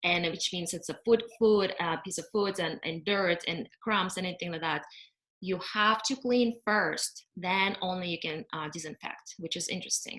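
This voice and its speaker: Her tone bright and sharp, a woman at medium pitch talks at a moderate pace with ordinary pitch variation. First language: not English. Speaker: cleaning company owner. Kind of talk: webinar presentation. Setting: video call. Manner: halting with fillers.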